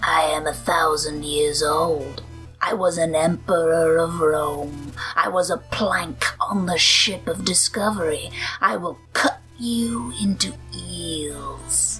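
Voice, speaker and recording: Clear music plays in the background as a raspy, put-on character voice speaks at a fairly slow pace. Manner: menacing.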